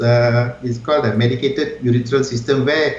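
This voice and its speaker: The intonation stays fairly even. Background noise is noticeable. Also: man. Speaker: urologist, guest doctor. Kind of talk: medical explanation in interview answer. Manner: soft-spoken, kind, explanatory.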